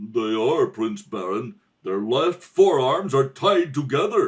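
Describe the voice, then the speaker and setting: Using a put-on character voice, a man speaks at a fairly slow pace and medium pitch with very wide pitch swings. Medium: audio drama. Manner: servile.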